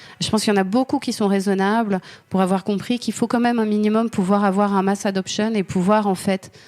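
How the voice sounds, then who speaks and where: A woman's very fast, monotone, flat delivery at a medium pitch with a slight Swiss French accent, very even loudness, and a very clean recording with a silent background. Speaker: lawyer. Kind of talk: interview. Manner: halting, many fillers.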